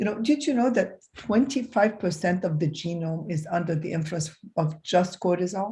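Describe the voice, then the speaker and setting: A woman speaks at a medium pitch with a somewhat breathy, dark and mellow tone against a quiet background. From Egypt. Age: 60s. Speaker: physician. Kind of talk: interview. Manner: halting.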